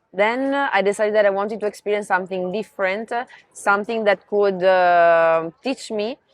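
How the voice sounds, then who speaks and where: A woman with an Italian accent talks at a moderate pace and medium pitch. Her pitch varies in an ordinary way, and the sound is dry and close with no echo. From Italy, near Venice. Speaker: marketing professional. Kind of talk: interview.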